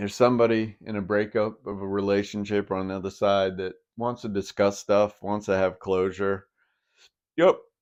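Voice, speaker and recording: Over a quiet background, a man speaks at a moderate pace in a fairly low pitch. His intonation is monotone and flat. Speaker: tarot reader. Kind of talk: tarot reading. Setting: recording alone with phone camera. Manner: casual, many fillers. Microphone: old phone.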